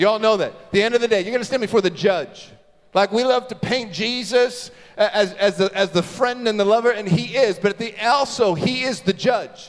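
The speaker has an animated tone and ordinary pitch variation. The pace is moderate, with noticeable background noise. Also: man, high pitch for a man. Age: 30s. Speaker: pastor. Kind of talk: sermon.

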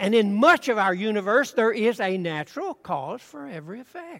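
The pitch is high for this man. He talks at a moderate pace. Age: 80s+. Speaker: preacher. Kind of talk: sermon.

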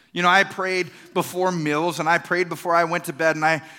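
A bright, sharp tone in a Texan accent at a moderate pace. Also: man. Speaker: pastor. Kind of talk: sermon.

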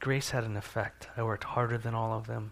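This is a man talking. He has a medium pitch. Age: 40s. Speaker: pastor. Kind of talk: sermon.

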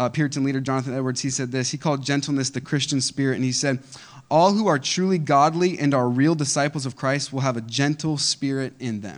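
On a very clean recording with a silent background, a man talks at a fairly quick pace with fairly high pitch for a man and ordinary pitch variation. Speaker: pastor. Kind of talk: sermon, preacher in full flow, exhorting a congregation with call-and-response. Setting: church. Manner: animated, emphatic, persuasive, rhetorical questions, urgent.

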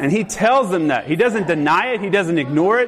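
Over noticeable background noise, a man talks at a fairly quick pace with a high pitch and lively intonation. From US South. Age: 40s. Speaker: pastor. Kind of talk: sermon.

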